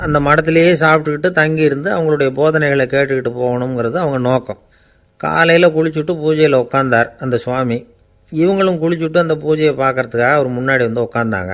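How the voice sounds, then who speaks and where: Fairly high in pitch, the man's ordinary speaking voice shows ordinary pitch variation. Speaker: radio broadcaster. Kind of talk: anecdotal storytelling talk.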